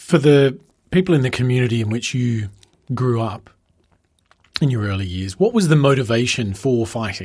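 A man speaks at a moderate pace with an Australian accent and a medium pitch. His voice is somewhat breathy, broken by long, frequent pauses. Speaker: podcast host. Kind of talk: interview. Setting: recorded venue interview.

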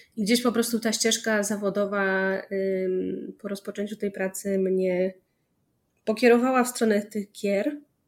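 Fairly slow and fairly even in intonation, a woman speaks at a medium pitch in a very clean recording with a silent background. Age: 30s. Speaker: PR and communications specialist in gaming industry. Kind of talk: casual interview. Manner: halting.

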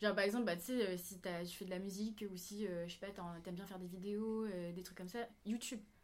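A woman at medium pitch, very fast pace, flat monotone intonation and big swings in loudness, over noticeable background noise. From Réunion. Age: 20s. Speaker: flight attendant, dancer. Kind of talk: casual chat.

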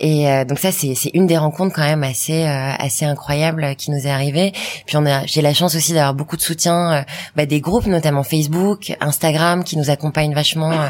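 A woman's very deep, low voice, fairly quick in pace, with fairly even intonation. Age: 30s. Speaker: entrepreneur. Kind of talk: interview. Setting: stage with audience. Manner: fast.

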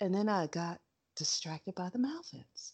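A woman with an American accent talks at a moderate pace, her pitch swinging very widely. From New York. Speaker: podcast co-host. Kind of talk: casual chat.

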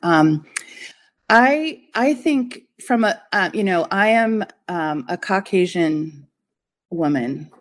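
Against a quiet background, a woman with an American accent and a medium pitch speaks at a very slow pace, with very wide pitch swings and long, frequent pauses. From Colorado, US. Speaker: strategist and adjunct professor. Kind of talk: interview.

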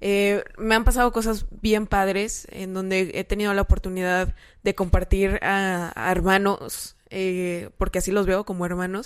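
A woman speaks at a moderate pace and a medium pitch in a monotone, flat intonation. The recording is very clean, with a silent background. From San Luis Potosí, Mexico. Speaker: nutritionist and social media influencer. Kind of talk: casual chat.

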